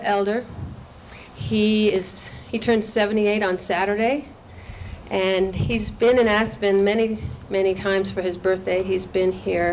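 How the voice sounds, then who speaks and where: A woman talks at a fairly slow pace and medium pitch with fairly even intonation. Her speech has long, frequent pauses over noticeable background noise. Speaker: event host introducing a speaker. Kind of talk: spoken introduction to a live audience. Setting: live gathering.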